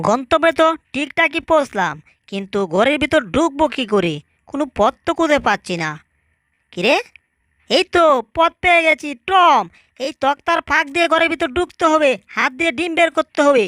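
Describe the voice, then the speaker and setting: A put-on character voice speaks at a high pitch and a moderate pace. The recording is very clean, with a silent background. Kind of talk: comic overacting. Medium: fan dub. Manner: quick, excitable.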